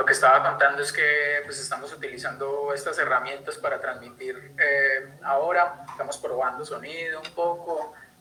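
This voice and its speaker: A man talks with a Colombian accent, his loudness swinging widely and hardly any pauses breaking his speech. Noticeable background noise sits behind him. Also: moderate pace. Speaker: conservation project coordinator. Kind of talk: online talk. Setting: live stream video call. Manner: halting, many fillers.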